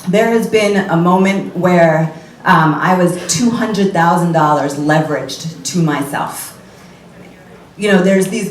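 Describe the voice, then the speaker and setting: A woman's fairly low, animated voice amid noticeable background noise and audible room echo. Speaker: entrepreneur and speaker on women's finances. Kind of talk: keynote talk. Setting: stage with audience at live event. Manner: loud.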